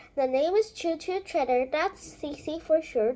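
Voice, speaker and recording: Moderate-paced speech in a put-on character voice. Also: woman, high pitch for a woman. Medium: read story. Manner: folksy, chatty.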